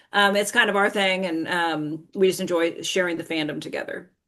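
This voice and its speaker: At a moderate pace and with ordinary pitch variation, a woman talks in an unremarkable speaking voice. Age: 60s. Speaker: toy merchandising professional. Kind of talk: casual interview chat.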